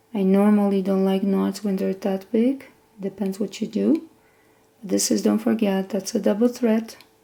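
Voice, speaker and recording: A woman with a non-native accent talks at a medium pitch in a dark, mellow tone, her intonation fairly even. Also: moderate pace. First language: not English. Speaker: sewing instructor. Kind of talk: tutorial. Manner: casual, conversational.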